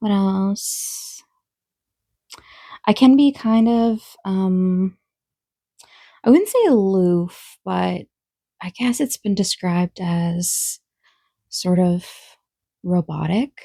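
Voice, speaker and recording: A woman speaks very slowly at medium pitch, somewhat breathy, with a dark, mellow tone and long, frequent pauses. The sound is dry and close with no echo. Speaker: vlogger. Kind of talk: casual Q&A vlog. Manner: sometimes monotone; hesitant, many fillers.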